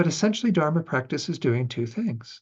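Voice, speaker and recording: Fairly quick, somewhat breathy male speech with ordinary pitch variation. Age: 60s. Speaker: Buddhist teacher. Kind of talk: dharma class lecture. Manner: conversational, relaxed.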